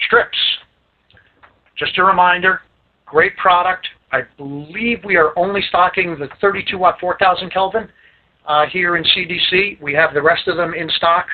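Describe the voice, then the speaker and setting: A man with an American accent talks at a moderate pace, his pitch high and his intonation fairly even. He leaves long, frequent pauses. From Staten Island, New York. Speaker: lighting sales rep. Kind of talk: product training presentation. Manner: casual.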